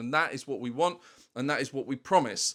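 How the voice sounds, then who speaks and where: At a fairly quick pace, a man with a fairly high pitch and an ordinary speaking voice talks with ordinary pitch variation on a very clean recording with a silent background. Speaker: online seller of vintage toy sets. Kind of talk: casual vlog talking to camera.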